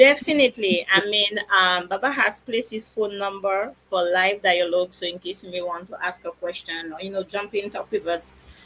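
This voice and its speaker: A woman speaks with a French accent in a bright, sharp tone at a medium pitch. Her pitch variation is ordinary, and her loudness swings widely. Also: moderate pace, hardly any pauses. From France. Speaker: naturopath. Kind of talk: educational talk. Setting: live stream.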